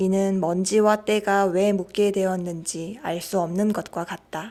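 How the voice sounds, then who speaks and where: A woman speaks at a very slow pace. Her medium-pitched voice has fairly even intonation. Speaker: audiobook reader. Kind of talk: audiobook reading. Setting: outdoor cafe.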